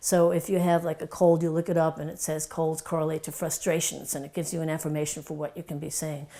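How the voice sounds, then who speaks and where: With a slight Brooklyn accent, a woman talks at a very fast pace in a very deep, low voice with a dark, mellow tone, her intonation monotone and flat but her loudness swinging widely. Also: hardly any pauses. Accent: slight Brooklyn New York. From New York (Brooklyn). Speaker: doctor / wellness educator. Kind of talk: casual talk to camera.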